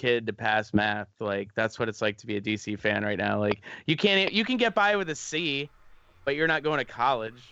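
A man's animated, bright, sharp voice at a moderate pace, with very wide pitch swings, against a quiet background. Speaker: podcast co-host. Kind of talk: casual chat. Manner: animated, joking.

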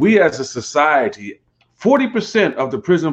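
Against a quiet background, a man with vocal fry talks at a fairly slow pace, his pitch swinging very widely. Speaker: pastor and co-host. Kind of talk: casual conversation.

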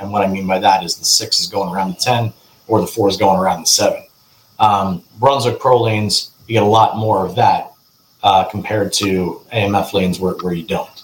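A man with an American accent talks at a moderate pace and a fairly low pitch. His voice is somewhat breathy, with fairly even intonation. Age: 30s. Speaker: professional bowler. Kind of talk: casual chat.

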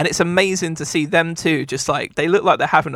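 The tone is bright and sharp. The sound is dry and close, with no echo. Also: man. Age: 30s. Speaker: podcast co-host. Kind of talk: casual chat. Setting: video call.

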